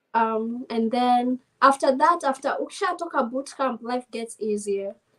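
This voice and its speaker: With a high pitch and ordinary pitch variation, a woman talks at a moderate pace. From Kenya. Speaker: navy service member. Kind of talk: casual interview chat mixing English and Swahili. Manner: quiet, not loud.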